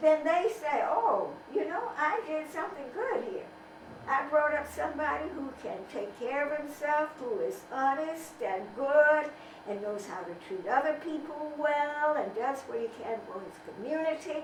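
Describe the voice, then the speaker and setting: Against noticeable background noise and audible room echo, a woman speaks at a high pitch with very wide pitch swings. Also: fairly slow pace, big swings in loudness. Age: 80s+. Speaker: civil rights activist and author. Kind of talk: interview.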